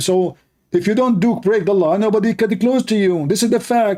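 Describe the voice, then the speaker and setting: Speaking with an Arabic accent, a man with a dark, mellow tone keeps a moderate pace and ordinary pitch variation. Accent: clear Arabic. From Middle East. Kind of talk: live stream commentary. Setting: live stream with Skype calls. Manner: animated.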